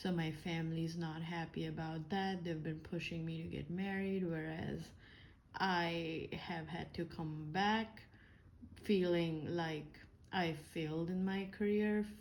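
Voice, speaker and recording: A woman with an Indian accent speaks at a very slow pace in a monotone, flat delivery with a fairly low pitch, and there is audible room echo. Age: 30s. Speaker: engineer and vlogger. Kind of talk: personal vlog monologue. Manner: hesitant, many fillers.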